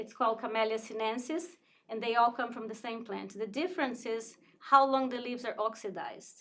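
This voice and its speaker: Speaking at a fairly quick pace in a plain, everyday voice, a woman with fairly high pitch shows big swings in loudness. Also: ordinary pitch variation. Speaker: tea shop owner. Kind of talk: casual interview.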